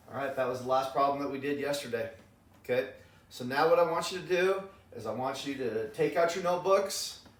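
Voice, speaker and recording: Amid noticeable background noise and audible room echo, a man with a fairly high pitch speaks at a fairly quick pace in an animated tone with ordinary pitch variation. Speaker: math teacher. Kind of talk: lecture.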